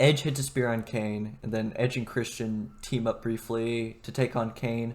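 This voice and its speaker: At a fairly slow pace, a man with an ordinary speaking voice talks in a medium pitch. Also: fairly even intonation. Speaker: wrestling podcast host. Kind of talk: casual chat.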